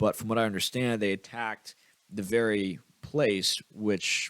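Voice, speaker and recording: A man speaks with fairly even intonation. The sound is dry and close, with no echo. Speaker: crypto podcast host. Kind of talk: solo commentary reading posts. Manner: fast.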